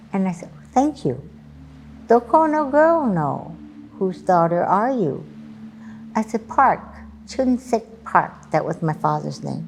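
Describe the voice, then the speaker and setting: A woman speaks at a very slow pace with long, frequent pauses, in a Hawaiian accent. Her pitch is medium, with very wide pitch swings. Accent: Hawaii local English. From Hawaii, Oahu. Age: 80s+. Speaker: elderly storyteller. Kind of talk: personal testimony.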